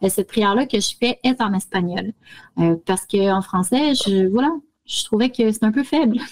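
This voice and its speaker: With a Quebec accent, the speaker talks at a moderate pace in a somewhat breathy voice with very even loudness, in a dry, close sound with no echo. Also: woman, fairly high pitch for a woman, ordinary pitch variation. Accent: Québécois French. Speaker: spiritual practice radio co-host. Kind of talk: casual chat.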